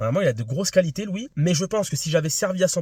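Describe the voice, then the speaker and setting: In a very clean recording with a silent background, a somewhat breathy man talks very fast with lively intonation. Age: 20s. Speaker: amateur tennis vlogger. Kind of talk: casual vlog debrief. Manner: hesitant, many fillers.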